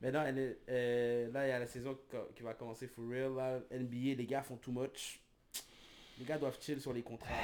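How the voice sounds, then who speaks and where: With a Quebec accent, a man speaks at a medium pitch and a fairly slow pace in monotone, flat intonation, pausing long and often. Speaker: podcast co-host. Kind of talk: casual chat. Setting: live stream.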